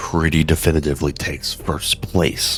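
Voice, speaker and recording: A soft-spoken man talks at a moderate pace. Music plays in the background. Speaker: mobile game video creator. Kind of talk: game guide commentary. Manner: soft, quiet.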